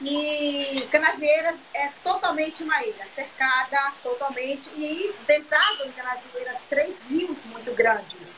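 Raised and projected, a woman's high voice sounds bright and sharp. She speaks at a very slow pace with lively intonation. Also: hardly any pauses. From Brazil, southern Bahia. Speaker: chef. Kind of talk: cooking live stream chat. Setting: video call.

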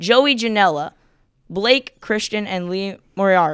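A woman's animated, bright and sharp tone at a moderate pace. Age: 30s. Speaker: podcast host, wrestling segment. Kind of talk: casual chat.

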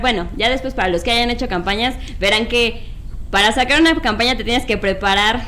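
A woman with a Mexican accent talks at a fairly quick pace in a high pitch, her intonation lively against audible room echo. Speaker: board game designer and publisher. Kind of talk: casual chat.

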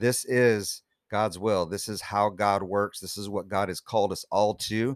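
In an unremarkable speaking voice, a man talks at a moderate pace with fairly even intonation, the sound dry and close with no echo on a very clean recording with a silent background. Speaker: worship leader. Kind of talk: testimony.

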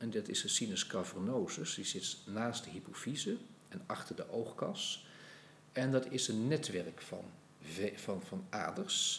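A man at medium pitch, speaking fairly slowly with very wide pitch swings. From Netherlands, Utrecht. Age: 60s. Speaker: anatomy professor. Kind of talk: podcast interview.

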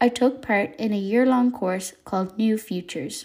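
Her voice is somewhat breathy and fairly high in pitch. This woman keeps a moderate pace with ordinary pitch variation.

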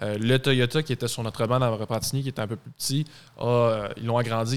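On a very clean recording with a silent background, a man talks very fast in a flat monotone at a medium pitch. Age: 20s. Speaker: car dealership sales director. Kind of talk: casual chat.

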